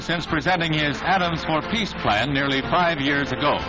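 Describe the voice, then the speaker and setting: With noticeable background noise behind him, a man talks in a fairly high voice with ordinary pitch variation. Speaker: newsreel narrator. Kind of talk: newsreel narration.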